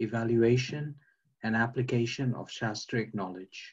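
A somewhat breathy male voice at a moderate pace against a quiet background. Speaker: participant in online class; religious teacher. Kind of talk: class discussion. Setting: video call. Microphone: video call.

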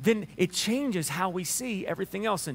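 A man with a Southern US accent and ordinary pitch variation. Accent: Southern US drawl. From Alabama. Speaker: pastor preaching a sermon. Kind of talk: casual, folksy sermon. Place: church.

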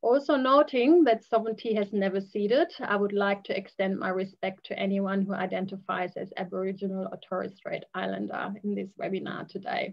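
At a fairly quick clip and with hardly any pauses, a woman talks with ordinary pitch variation over a quiet background. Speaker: community engagement advisor hosting webinar. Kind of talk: webinar host introduction. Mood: warm, friendly, smiling. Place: home room. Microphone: video call.

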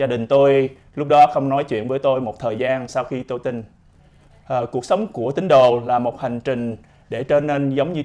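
A man's dark, mellow tone, fairly slow pace and fairly even intonation. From Vietnam. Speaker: doctor and army officer. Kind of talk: testimony. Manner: halting. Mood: calm, earnest. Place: studio. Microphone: lapel.

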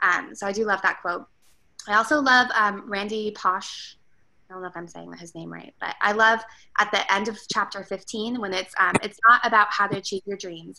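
Noticeable background noise sits behind a woman with a bright, sharp tone. She talks at a moderate pace with fairly even intonation and big swings in loudness. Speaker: theme park employee. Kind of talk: casual book discussion. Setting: video call. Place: home room. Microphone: video call.

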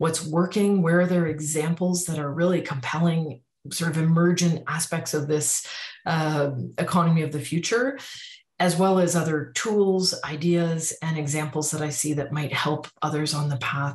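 A woman speaks at a moderate pace with fairly low pitch, a somewhat breathy quality and fairly even intonation. The background is quiet, though room echo is audible. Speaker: speaker. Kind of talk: self-introduction talk to camera. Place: home room. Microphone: webcam.

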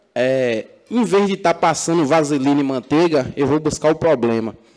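Moderate pacing from a man, ordinary pitch variation, and a quiet background. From Macajuba, Bahia, Brazil; Bahia, Brazil. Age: 20s. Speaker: city councillor. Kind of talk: heated debate. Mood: combative rebuttal to a colleague. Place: hall. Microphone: podium.

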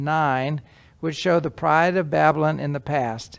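A man with a fairly high pitch for a man speaks at a fairly slow pace, his intonation fairly even and his voice showing vocal fry.

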